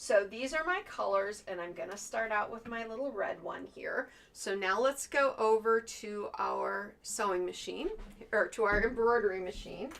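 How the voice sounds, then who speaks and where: At a moderate pace, a woman uses a put-on character voice that is fairly high, hoarse and raspy. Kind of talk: instructional, casual tutorial.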